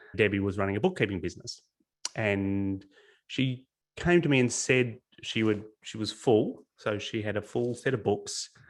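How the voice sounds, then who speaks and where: A man with an Australian accent, fairly low pitch, ordinary pitch variation and a moderate pace. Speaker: business coach. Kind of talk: webinar presentation.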